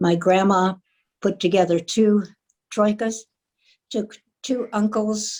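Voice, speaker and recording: Her dark, mellow tone carries fairly even intonation as the woman speaks at a fairly slow pace. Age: 70s. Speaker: panel moderator. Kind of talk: panel discussion. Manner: halting with many fillers.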